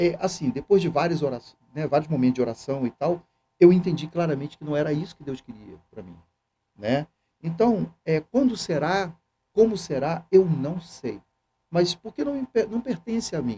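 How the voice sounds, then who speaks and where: Using lively intonation and big swings in loudness, a man with a fairly high pitch and a dark, mellow tone speaks at a moderate pace. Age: 60s. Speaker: seminarian and church youth coordinator. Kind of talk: casual interview chat.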